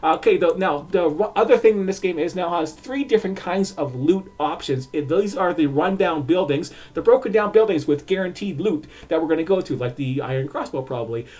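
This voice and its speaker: A high-pitched man at a fairly quick pace with hardly any pauses, lively in intonation, amid noticeable background noise. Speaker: video game streamer. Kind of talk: gameplay walkthrough commentary. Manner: halting, many fillers.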